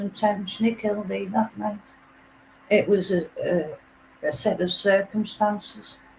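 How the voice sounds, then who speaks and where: Someone with a Teesside accent talks at a fairly slow pace. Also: woman. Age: 60s. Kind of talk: casual chat.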